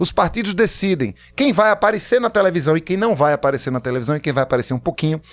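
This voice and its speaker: The recording is very clean with a silent background. A man talks at a very fast pace in an animated tone, his pitch swinging very widely. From Pernambuco, Brazil. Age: 50s. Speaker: writer and political candidate. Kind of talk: podcast interview.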